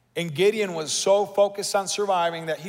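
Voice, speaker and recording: Over noticeable background noise, a man talks at a moderate pace. His tone is animated. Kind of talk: sermon. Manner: animated, rallying the congregation with call-and-response.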